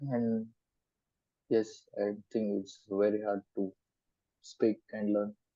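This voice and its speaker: A man with a Goan accent at a fairly low pitch, very slow pace and monotone, flat intonation, with long, frequent pauses and big swings in loudness. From India, Goa. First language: Konkani. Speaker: student. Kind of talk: mock speaking exam. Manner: halting, hesitant.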